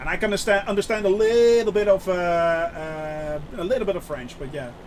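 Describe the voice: A man's high-pitched voice at a fairly quick pace, with ordinary pitch variation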